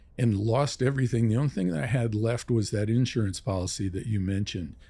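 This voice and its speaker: A man speaks at a fairly quick pace in a medium pitch, his somewhat breathy voice dark and mellow in tone, on a very clean recording with a silent background. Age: 70s. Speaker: real estate investor. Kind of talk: podcast interview.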